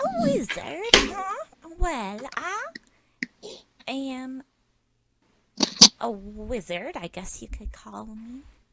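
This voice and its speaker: A woman's high-pitched, put-on character voice at a very slow pace, with long, frequent pauses. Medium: actual play. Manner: calm, warmly condescending.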